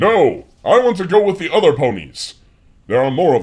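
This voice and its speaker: At a moderate pace, a man delivers his lines in a put-on character voice pitched high. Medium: actual play. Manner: stilted, formal.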